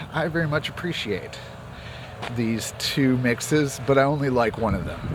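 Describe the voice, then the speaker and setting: There is noticeable background noise and audible room echo. At a moderate pace, a man speaks at medium pitch with ordinary pitch variation. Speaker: music commentator and producer. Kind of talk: casual vlog monologue. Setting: outdoors, on a walk. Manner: speaking in higher range of his voice.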